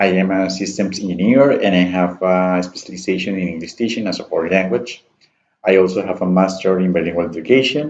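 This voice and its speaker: A man with a Spanish accent speaks at a very fast pace in a very deep, low voice with ordinary pitch variation. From Colombia, Santander (Piedecuesta). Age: 20s. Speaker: student and university staff member. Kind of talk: class self-introduction presentation. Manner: halting, with many fillers.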